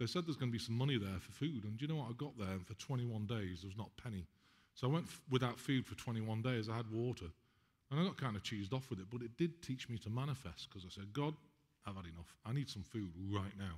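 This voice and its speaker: Speaking at a very fast pace, a man sounds animated and somewhat breathy, with lively intonation. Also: medium pitch for a man. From England. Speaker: spiritual healer. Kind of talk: talk to an audience.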